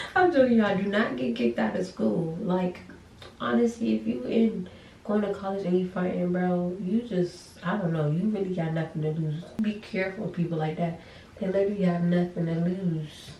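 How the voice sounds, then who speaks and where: A soft-spoken woman whispering at a moderate pace, with audible room echo. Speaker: college student vlogger. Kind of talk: casual chat. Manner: quiet, near whispering.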